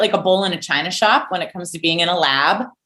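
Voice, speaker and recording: A woman with an American accent speaks loudly at a medium pitch, her tone bright, sharp and animated. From US, western Pennsylvania. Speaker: marine scientist. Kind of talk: interview.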